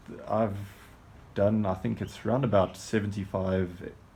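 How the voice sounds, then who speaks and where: This man's voice is dark, mellow and somewhat breathy. He keeps a moderate pace and fairly even intonation. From South Africa, Johannesburg. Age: 40s. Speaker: adventure racer, team navigator. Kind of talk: self-introduction video.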